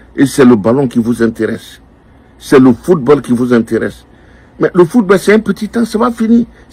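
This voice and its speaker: At a moderate pace, a man speaks in a fairly high pitch with a dark, mellow tone and very wide pitch swings. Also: big swings in loudness. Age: 60s. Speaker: political commentator. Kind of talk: political address to youth. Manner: animated.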